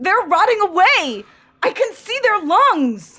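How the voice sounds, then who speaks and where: Using a put-on character voice at an extremely high pitch, a woman talks fairly slowly with very wide pitch swings. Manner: panicked, shouting.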